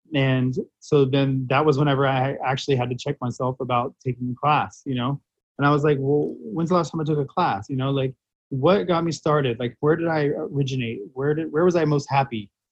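A man speaks at a fairly quick pace with a fairly high pitch. His voice is somewhat breathy, with ordinary pitch variation. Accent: American. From Central Florida (Titusville). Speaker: hair stylist. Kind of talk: interview. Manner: casual, frequent fillers.

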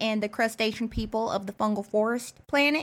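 On a very clean recording with a silent background, a woman speaks at a moderate pace. Her pitch is fairly high and her intonation fairly even. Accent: American. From Texas. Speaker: comedy podcast guest playing an alien researcher. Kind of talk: improv comedy chat. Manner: halting, repeats words.

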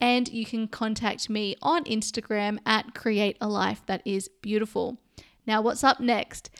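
Fairly slow, fairly high-pitched speech from a woman with an Australian accent and fairly even intonation on a very clean recording with a silent background. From Sydney, Australia. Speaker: podcast host. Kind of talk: casual interview chat.

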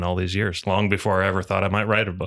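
A man with an American accent and a very deep, low pitch, monotone and flat, dry and close with no echo, in a very clean recording against a silent background. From Michigan, Muskegon. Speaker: author and business litigator. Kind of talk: casual chat. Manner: halting.

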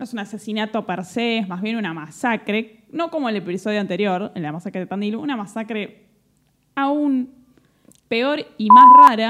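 A woman with a fairly high voice and lively intonation talks at a moderate speed. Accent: Rioplatense. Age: 30s. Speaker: podcast host. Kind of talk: casual chat.

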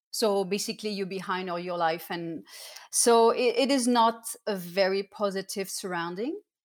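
A woman with a medium pitch and ordinary pitch variation speaks at a moderate pace. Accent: French. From southern France (Cannes). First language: French. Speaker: professional dancer and artist. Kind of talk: casual interview.

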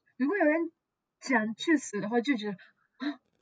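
Speaking with a Japanese accent at a fairly slow pace, a woman uses a high pitch with very wide pitch swings, recorded in a dry, close sound with no echo. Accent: Japanese-accented Mandarin. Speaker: guest. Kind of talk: casual podcast interview. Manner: halting, searching for words.

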